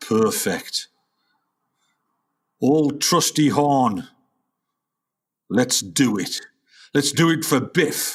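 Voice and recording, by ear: In a put-on character voice, a man speaks at a very slow pace with long, frequent pauses, medium pitch, lively intonation and a slightly husky edge, on a very clean recording with a silent background.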